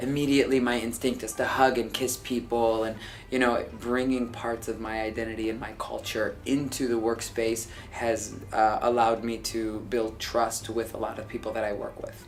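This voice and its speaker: Amid noticeable background noise and audible room echo, a man talks at a moderate pace and medium pitch in a monotone, flat delivery. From US Midwest, Dearborn, Michigan. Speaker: TV producer. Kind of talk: documentary interview.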